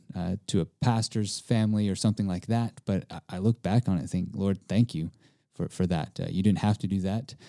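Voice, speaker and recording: On a very clean recording with a silent background, the speaker has an American accent, a dark, mellow tone and fairly even intonation. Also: man. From East Texas. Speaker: camp staff member. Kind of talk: personal testimony interview.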